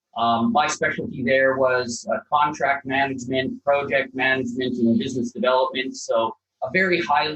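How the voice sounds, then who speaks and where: Speaking with a slight Canadian accent, a man keeps his loudness very even. His voice is fairly high, and he leaves hardly any pauses. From Canada (Calgary, Alberta). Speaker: property developer. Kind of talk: podcast interview.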